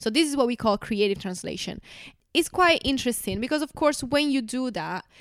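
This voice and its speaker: A woman speaks with an Italian accent and ordinary pitch variation. The sound is dry and close with no echo, very clean against a silent background. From Italy. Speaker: translator and podcast co-host. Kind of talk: casual chat.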